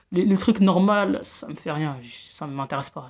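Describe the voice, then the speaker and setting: The speech moves at a fairly slow pace, with a dry, close sound with no echo. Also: woman. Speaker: vlogger. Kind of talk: casual monologue vlog. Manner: halting, many fillers and repetitions.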